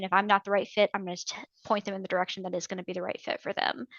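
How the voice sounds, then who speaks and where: A woman's very fast, monotone, flat delivery in an American accent. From US South, northern Georgia. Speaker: navy veteran and veterans claims consultant. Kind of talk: interview.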